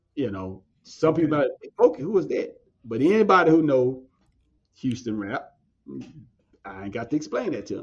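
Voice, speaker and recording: Speaking at a moderate pace with vocal fry, a man uses a fairly high pitch, very wide pitch swings, big shifts in loudness and long, frequent pauses. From southwest Louisiana and Texas. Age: 40s. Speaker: agriculture educator. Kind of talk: interview.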